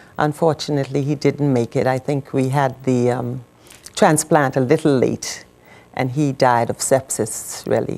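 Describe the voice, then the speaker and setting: A woman with a Bahamian accent speaks at a moderate pace, her pitch very deep and low with vocal fry. Her tone is dark and mellow, and her intonation is monotone and flat. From Bahamas. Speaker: widow of a medical missionary, former nurse. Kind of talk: TV interview testimony.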